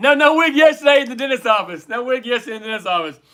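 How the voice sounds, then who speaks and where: Raising and projecting his voice, a man with an American accent speaks at an extremely high pitch, his bright, sharp tone animated and playful with lively intonation. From United States. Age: 50s. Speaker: livestream trivia host. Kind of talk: casual livestream trivia chat. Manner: animated, playful.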